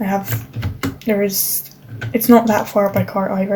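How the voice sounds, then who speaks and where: Over noticeable background noise, a woman speaks at a fairly high pitch with a non-native accent. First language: not English. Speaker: gaming vlogger. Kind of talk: casual chat. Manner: halting.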